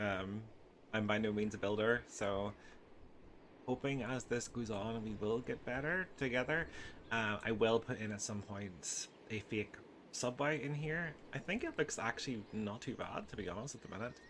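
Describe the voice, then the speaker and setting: Spoken with a Northern Irish accent, the voice moves at a moderate pace with ordinary pitch variation. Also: man, medium pitch for a man. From Northern Ireland. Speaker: video game content creator. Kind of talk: gameplay commentary. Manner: hesitant, many fillers.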